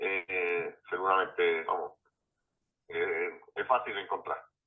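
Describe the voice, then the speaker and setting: His pace is fairly slow. This is a man talking. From Andalusia, Spain. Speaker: anthropologist and professor. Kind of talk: interview answer.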